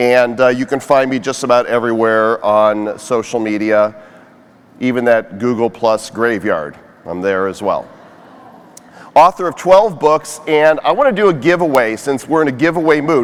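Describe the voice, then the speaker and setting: Amid noticeable background noise, a man speaks in an animated tone with long, frequent pauses. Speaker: conference speaker and social media influencer. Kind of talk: keynote talk. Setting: stage with audience.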